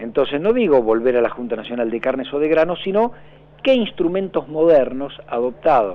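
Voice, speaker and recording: A man with a fairly high pitch talks at a moderate pace, his pitch swinging very widely. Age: 50s. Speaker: political analyst. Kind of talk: radio interview.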